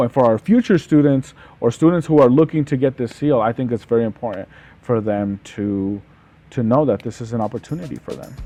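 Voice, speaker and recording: Speaking with a Spanish accent at a fairly quick pace, a man keeps a medium pitch and ordinary pitch variation over a quiet background. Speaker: podcast host. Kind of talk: casual interview. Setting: studio.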